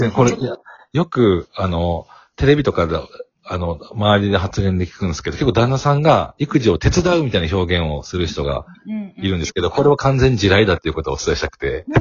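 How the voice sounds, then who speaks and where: A man's fairly low voice at a fairly quick pace, with very wide pitch swings. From Kansai, Kobe. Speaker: corporate sales worker and working father. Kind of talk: casual interview.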